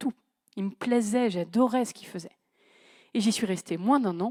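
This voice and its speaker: With a dry, close sound and no echo, a woman speaks at a moderate pace in a fairly high pitch with ordinary pitch variation. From northern France, Creil (Oise). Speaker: conference speaker on management. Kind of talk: conference talk. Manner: casual, conversational.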